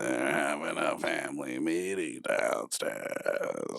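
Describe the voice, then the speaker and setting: Putting on a gravelly character voice, a man speaks at a very slow pace. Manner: sinister.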